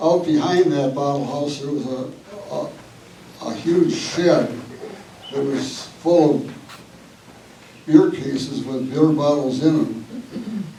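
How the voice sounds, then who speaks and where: Speaking very slowly with long, frequent pauses, a man with an American accent and a fairly high pitch uses ordinary pitch variation, with audible room echo and noticeable background noise. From Wisconsin. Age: 80s+. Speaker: local family descendant. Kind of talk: public history talk.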